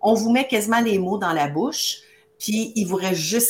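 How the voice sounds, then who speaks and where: A woman speaks in an animated tone at a moderate pace. Noticeable background noise runs underneath. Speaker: beauty business coach. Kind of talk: live-streamed promotional chat.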